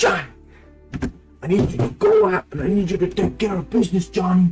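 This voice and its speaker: A man puts on a high-pitched character voice at a moderate pace. Clear music plays in the background. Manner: commanding.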